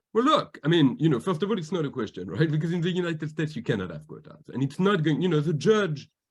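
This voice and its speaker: A man talks with vocal fry. He has a slight French accent. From France. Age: 40s. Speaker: diversity advocate and corporate governance expert. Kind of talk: interview.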